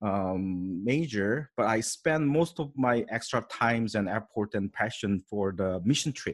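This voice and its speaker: A man with a Korean accent at a fairly slow pace, in a very clean recording with a silent background. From South Korea. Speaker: pastor. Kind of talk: interview. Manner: halting.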